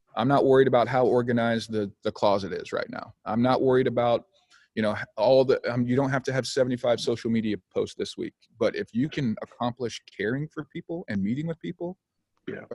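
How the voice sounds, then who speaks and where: In a dry, close recording with no echo, a man with a medium pitch and a plain, everyday voice talks at a fairly quick pace with ordinary pitch variation. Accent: American. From Oklahoma. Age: 40s. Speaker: pastor. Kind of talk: casual chat. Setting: video call.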